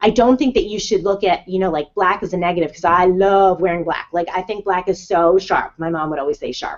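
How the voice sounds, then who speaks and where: With a New Jersey accent, a woman speaks at medium pitch in an animated tone, at a fairly quick pace with ordinary pitch variation. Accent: New Jersey American. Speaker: life coach. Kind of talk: live webinar talk. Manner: fast.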